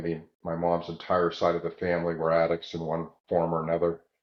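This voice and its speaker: This man's very deep, low voice stays monotone and flat at a moderate pace. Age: 60s. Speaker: recovered addict and entrepreneur. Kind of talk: podcast interview testimony.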